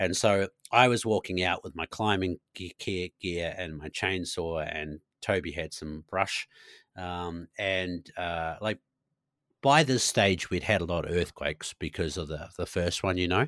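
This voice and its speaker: In a very clean recording with a silent background and a dry, close sound without echo, a man with a very deep, low pitch speaks fairly slowly with ordinary pitch variation. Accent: New Zealand. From New Zealand, Nelson. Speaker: bow hunting guide and content creator. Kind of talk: casual chat.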